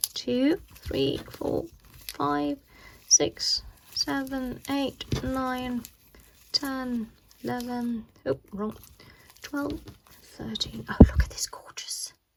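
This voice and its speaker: A woman speaks at a very slow pace, with long, frequent pauses and big swings in loudness. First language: not English. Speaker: cross stitch video host. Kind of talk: casual unboxing tutorial. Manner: chatty, with frequent hesitations.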